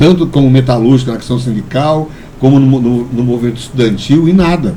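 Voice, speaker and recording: In a room with audible echo and noticeable background noise, a man talks at a moderate pace with a medium pitch and ordinary pitch variation. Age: 60s. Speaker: community leader and metalworker. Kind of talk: podcast interview. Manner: halting, frequent repetitions.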